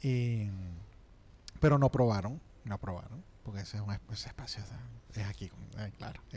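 Dark and mellow in tone, a man's fairly low, somewhat breathy voice shows ordinary pitch variation and big swings in loudness, broken by long, frequent pauses. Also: moderate pace. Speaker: radio host. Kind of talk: casual chat. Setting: studio. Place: studio. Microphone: studio mic.

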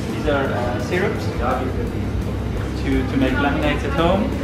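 Over loud music in the background, a man talks at a moderate pace. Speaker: restaurant staff guide. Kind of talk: interview answer. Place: shop. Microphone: phone near.

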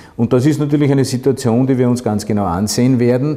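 A man's voice carries a dark, mellow tone with ordinary pitch variation. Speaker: local mayor. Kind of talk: interview answer. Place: office.

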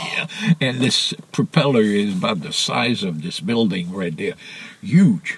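A man at medium pitch, fairly slow, with big swings in loudness and very wide pitch swings, plus noticeable background noise. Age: 80s+. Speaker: sailor. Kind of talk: interview answer.

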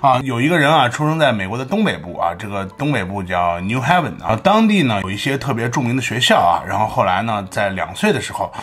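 A man speaks at a fairly quick pace with hardly any pauses. His pitch swings very widely. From China. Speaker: commentary vlogger. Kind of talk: casual commentary monologue. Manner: animated. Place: home room. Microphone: studio mic.

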